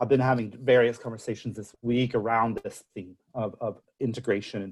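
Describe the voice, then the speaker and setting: A man with an American accent, medium pitch and fairly even intonation. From United States. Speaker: senior research fellow. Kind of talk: webinar Q&A. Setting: online webinar. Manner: halting, many fillers and repeats.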